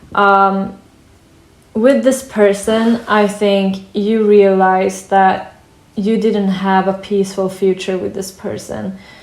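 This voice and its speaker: A woman's medium-pitched voice, monotone and flat, at a very slow pace with audible room echo. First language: not English. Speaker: tarot reader. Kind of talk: tarot reading. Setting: at a wooden table in sunlight. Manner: hesitant, many fillers.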